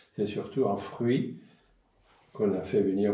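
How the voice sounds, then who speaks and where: Room echo is audible as a man with a dark, mellow tone talks at a fairly slow pace with fairly even intonation. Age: 80s+. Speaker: senior talking with children. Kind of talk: intergenerational conversation.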